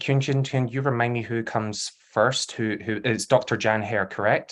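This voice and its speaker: A man speaks at a medium pitch in a Glasgow accent. His pitch varies in an ordinary way against a quiet background. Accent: Scottish (Glasgow). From Scotland, Glasgow. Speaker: panel discussant, academic. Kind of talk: event moderation.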